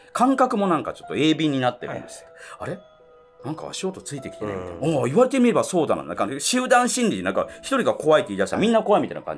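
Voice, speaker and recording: The speaker is a man. Faint music plays in the background. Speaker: ghost story comedian. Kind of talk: ghost story telling. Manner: casual. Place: studio.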